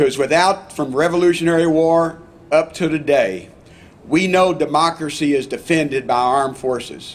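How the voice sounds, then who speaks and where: A man with a fairly high pitch speaks in a Texas accent. His pace is moderate and his intonation fairly even. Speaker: congressman. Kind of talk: public speech at ceremony.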